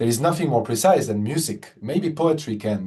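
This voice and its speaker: Lively intonation in a dark, mellow, somewhat breathy voice with a French accent. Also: man. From France. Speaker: concert pianist. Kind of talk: interview conversation. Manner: halting, many repetitions and fillers.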